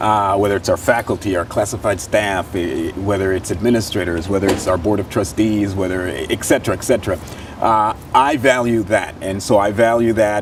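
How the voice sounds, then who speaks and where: Against noticeable background noise, a man with a fairly low voice speaks at a fairly quick pace with fairly even intonation and hardly any pauses. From East Los Angeles, Mexican-American family. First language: Spanish. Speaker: city council candidate, higher education administrator. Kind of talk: interview. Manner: halting, many fillers and restarts.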